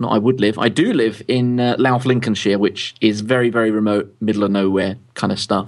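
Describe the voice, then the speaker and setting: At a moderate pace, a man speaks with fairly even intonation, hardly any pauses and very even loudness. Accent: London. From London, England. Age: 30s. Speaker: tech publisher and founder. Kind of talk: interview.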